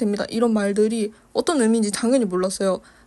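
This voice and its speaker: Against a quiet background, a woman mumbles in a dark, mellow tone, her pitch fairly high and her intonation fairly even. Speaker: art youtuber. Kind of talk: casual chat while painting. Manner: mumbled pronunciation.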